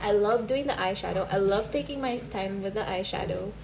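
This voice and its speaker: A woman at medium pitch speaks at a fairly quick pace, with audible room echo and noticeable background noise. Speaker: beauty vlogger. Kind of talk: casual chat; tutorial.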